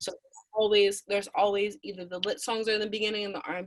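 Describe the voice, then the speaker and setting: Talking at a very fast pace, a woman with a medium pitch speaks with an American accent. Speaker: rapper and singer. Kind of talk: interview answer.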